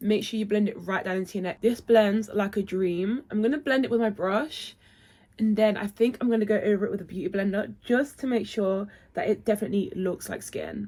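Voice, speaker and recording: Someone with a British accent speaks at a moderate pace with ordinary pitch variation. There is noticeable background noise. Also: woman. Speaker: beauty vlogger. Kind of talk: makeup tutorial. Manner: chatty.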